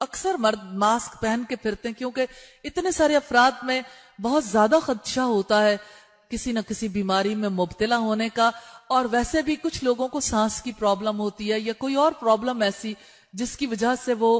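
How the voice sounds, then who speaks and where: With ordinary pitch variation and a fairly high pitch, the woman has an unremarkable speaking voice. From Pakistan. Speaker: Islamic scholar and preacher. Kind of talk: religious lecture on Hajj rules for women.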